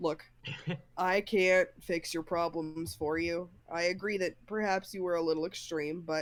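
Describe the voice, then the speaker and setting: A woman puts on a gruff character voice at a fairly low pitch. She speaks at a moderate pace. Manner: tentative, trying out a lower voice.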